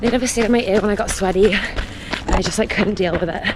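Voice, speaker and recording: A woman talks at a fairly quick pace and a fairly high pitch. Audible room echo and noticeable background noise fill the recording. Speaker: running vlogger. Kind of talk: casual vlog narration while running. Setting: outdoors, running in icy winter. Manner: loud.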